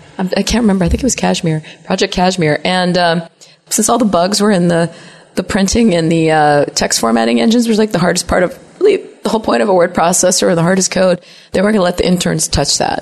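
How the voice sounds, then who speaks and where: A woman at a very fast pace, medium pitch and ordinary pitch variation, with noticeable background noise. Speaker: software engineer. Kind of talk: casual interview. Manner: talkative, animated.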